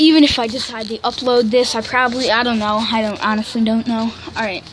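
Over light background noise, a woman talks at a fairly quick pace with fairly even intonation. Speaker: amateur vlogger. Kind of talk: casual vlog chat. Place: street. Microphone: phone near.

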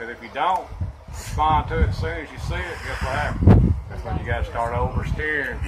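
A man talking at a very fast pace over loud background noise. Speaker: truck driving instructor. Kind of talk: tutorial explanation. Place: street. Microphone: phone near.

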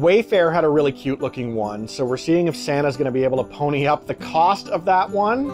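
A man's voice with clear music in the background. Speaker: food reviewer. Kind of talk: casual review vlog chat. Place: home room. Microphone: phone near.

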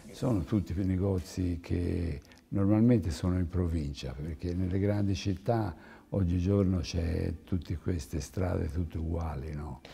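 Somewhat breathy and dark, mellow in tone, a man's very deep, low voice moves at a fairly slow pace with ordinary pitch variation. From Tuscany, province of Florence. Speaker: clothing company owner; guest. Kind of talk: TV interview. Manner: halting. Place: studio. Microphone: lapel.

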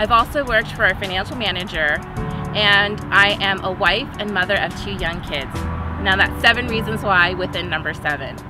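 Clear music sits behind a woman talking at a moderate pace with ordinary pitch variation, the sound dry with no echo. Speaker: candidate. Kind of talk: campaign address to camera. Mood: upbeat, friendly. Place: open country.

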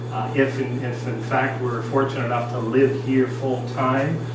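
A man talks at a moderate pace with audible room echo and noticeable background noise. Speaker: presenter. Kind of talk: lecture. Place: hall. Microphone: camera far.

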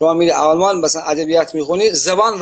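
A man speaks with a Gilan accent. His pace is very fast. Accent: Gilaki-accented Persian. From Iran, Gilan (Khomam); Gilan, Iran. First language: Gilaki (speaking Persian). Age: 80s+. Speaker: writer and translator; interviewee. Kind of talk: casual interview. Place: home room. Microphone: video call.

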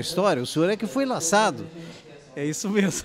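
A man at a fairly quick pace with lively intonation, dry sound with no echo, and noticeable background noise. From Brazil, Santa Maria area, Rio Grande do Sul; Rio Grande do Sul, Brazil. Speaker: audience member at screening; audience member. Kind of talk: interview. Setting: book fair event. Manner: halting. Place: street. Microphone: handheld.

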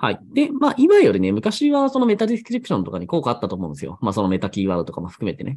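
A man speaking at a very fast pace with hardly any pauses against a quiet background. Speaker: blog and SEO YouTuber. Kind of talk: solo monologue, casual explainer video. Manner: conversational, chatty. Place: home room.

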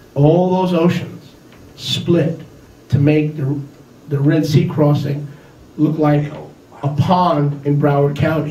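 The speech comes very slowly in a flat monotone, broken by long, frequent pauses, with audible echo from the room. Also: man. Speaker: preacher. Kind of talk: sermon. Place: home room.

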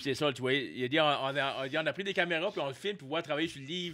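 Against a quiet background, a man speaks very fast at a fairly high pitch with fairly even intonation. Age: 40s. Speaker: comedian; podcast guest. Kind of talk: casual chat. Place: studio. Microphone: studio mic.

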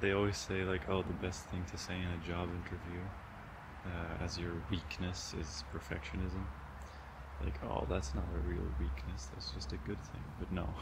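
Over loud background noise, a man talks at a moderate pace with ordinary pitch variation. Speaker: student vlogger. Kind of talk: casual vlog chat. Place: garden. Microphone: phone near.

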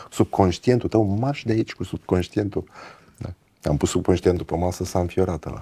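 Speaking at a moderate pace, a man has a very deep, low pitch and a dark, mellow tone. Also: ordinary pitch variation. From Brăila, Romania; Romania. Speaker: podcast host. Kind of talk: casual interview chat. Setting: guest's home. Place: studio.

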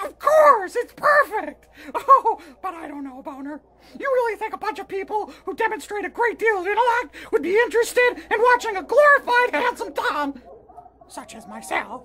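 A man's cartoonish character voice, extremely high-pitched and raspy, at a moderate pace. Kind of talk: crude puppet comedy. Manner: loud, melodramatic, whiny.

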